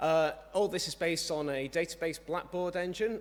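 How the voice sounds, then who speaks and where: The speaker has a British accent. The pace is moderate. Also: man. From UK. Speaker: software developer, conference speaker. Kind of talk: conference talk. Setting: conference stage with audience.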